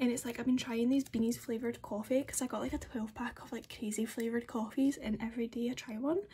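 A woman with a Scottish accent talks at a very fast pace in a high pitch, with fairly even intonation and hardly any pauses. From Scotland. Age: young. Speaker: beauty vlogger. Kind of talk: casual talk to camera. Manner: chatty, rambling. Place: home room. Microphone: phone near.

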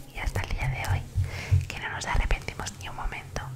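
A soft-spoken woman at a fairly quick pace against loud background noise. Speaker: ASMR creator. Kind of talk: soft casual vlog chat. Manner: soft, close-mic ASMR voice. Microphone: studio mic.

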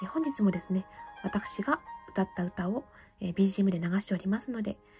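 A woman talks at a fairly quick pace with music playing in the background. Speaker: fortune teller; classical soprano singer. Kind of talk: tarot reading to camera.

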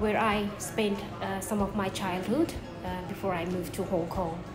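Noticeable background noise sits behind the speaker. She is a woman talking at a moderate pace. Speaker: travel vlogger. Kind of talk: casual vlog chat. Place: hall. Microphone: phone near.

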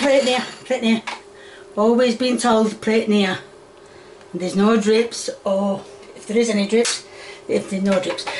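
With a Yorkshire accent, a woman speaks in fairly even intonation, leaving long, frequent pauses. Noticeable background noise is present. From Yorkshire, northern England. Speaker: home cooking video host. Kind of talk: cooking tutorial. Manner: chatty, rambling. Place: kitchen. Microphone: phone near.

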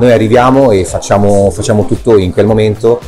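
Faint music plays in the background. The speaker keeps a moderate pace and fairly even intonation. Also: man. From Italy. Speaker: voice actor. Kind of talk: interview answer. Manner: casual, hesitant. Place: shop.

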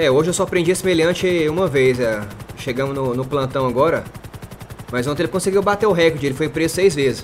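Speaking very fast with a Brazilian accent, a man with a fairly high voice shows ordinary pitch variation over light background noise. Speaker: gaming youtuber roleplaying a police officer; gaming streamer. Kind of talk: casual gameplay commentary with roleplay. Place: home room.

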